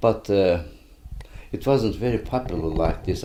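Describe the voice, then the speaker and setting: At a moderate pace, someone speaks with a Turkish accent in a dark, mellow tone. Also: man. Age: 80s+. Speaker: retired pediatrician. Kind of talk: interview. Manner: halting.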